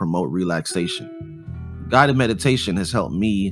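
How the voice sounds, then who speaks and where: With music playing in the background, the voice shows ordinary pitch variation. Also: man. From Jamaica. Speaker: podcast host, artist and music producer. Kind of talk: podcast talk. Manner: casual.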